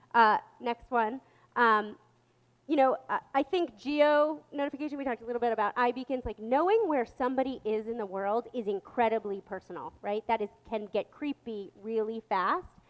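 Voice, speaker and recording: A woman speaks in a high voice with ordinary pitch variation. The sound is dry and close, with no echo. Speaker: marketing executive, panel presenter. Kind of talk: conference presentation. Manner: fast.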